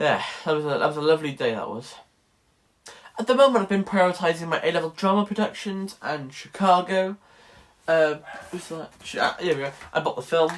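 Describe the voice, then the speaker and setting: Speaking fairly quickly in a high voice, a man leaves long, frequent pauses. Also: ordinary pitch variation. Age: young. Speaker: college student vlogger. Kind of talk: casual vlog. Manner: animated.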